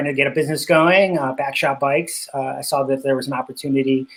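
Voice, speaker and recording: A moderate pace with fairly even intonation. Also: man. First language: Spanish. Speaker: cycling business owner. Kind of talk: interview.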